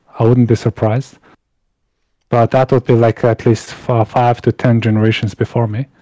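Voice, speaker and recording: A dark, mellow tone in monotone, flat intonation at a moderate pace. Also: man, medium pitch for a man. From Mongolia. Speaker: guest from Mongolia. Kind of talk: podcast interview.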